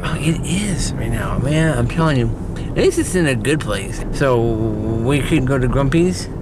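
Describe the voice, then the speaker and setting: A man talks at a fairly slow pace over noticeable background noise, the sound dry with no echo. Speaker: vlogger. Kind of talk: casual vlog chat. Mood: playful, rambling. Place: car. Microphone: phone near.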